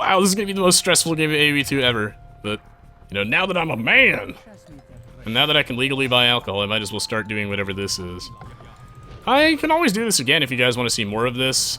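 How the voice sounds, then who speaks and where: A man's medium-pitched voice at a very fast pace, pitch swinging very widely, over noticeable background noise. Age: 20s. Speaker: gaming YouTuber and streamer. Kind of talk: gameplay commentary. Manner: animated.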